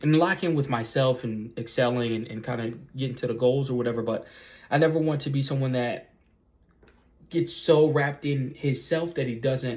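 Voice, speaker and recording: With fairly even intonation, a man talks in a somewhat breathy way. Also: medium pitch for a man, moderate pace. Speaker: YouTuber, vlogger. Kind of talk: casual vlog monologue. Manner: halting, many fillers and repetitions.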